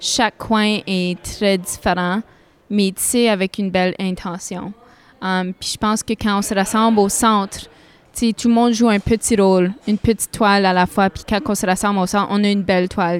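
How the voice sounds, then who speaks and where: With a strong northern Ontario accent, a woman of medium pitch speaks at a moderate pace in a monotone, flat way, recorded dry and close with no echo. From Sudbury, northern Ontario. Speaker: singer-songwriter. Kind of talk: interview.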